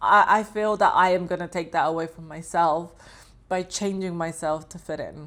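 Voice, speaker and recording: On a very clean recording with a silent background, a woman speaks at a fairly low pitch and a moderate pace. Her intonation is fairly even, with big swings in loudness. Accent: London. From London, England. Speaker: vlogger. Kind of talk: personal reflective monologue. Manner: expressive.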